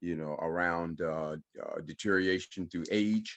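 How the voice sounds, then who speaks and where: A man speaks at a moderate pace with a very deep, low pitch and ordinary pitch variation against a quiet background. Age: 60s. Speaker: holistic health practitioner. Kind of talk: panel presentation. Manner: halting with many fillers.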